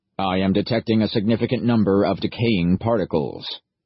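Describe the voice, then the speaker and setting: A man's put-on character voice at a fairly low pitch. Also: fairly quick pace. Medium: read story. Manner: flat, formal, literal.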